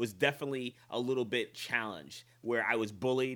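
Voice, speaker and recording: With an American accent and a bright, sharp tone, a man talks at a fairly quick pace in a very clean recording with a silent background. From New York (upstate, then Long Island). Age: 40s. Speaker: fitness coach and author. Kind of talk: podcast interview.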